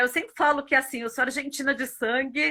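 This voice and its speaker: A woman with a São Paulo accent, high-pitched, bright and sharp in tone, animated, with a raised, projected voice at a fairly quick pace. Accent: São Paulo Brazilian Portuguese. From Brazil, São Paulo (born in Buenos Aires). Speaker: marketing professional and mentor. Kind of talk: interview.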